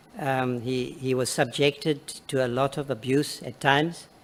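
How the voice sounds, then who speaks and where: This man has a medium-pitched voice and fairly even intonation. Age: 60s. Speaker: acting minister testifying before a committee. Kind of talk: parliamentary committee testimony. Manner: halting, many fillers and repetitions.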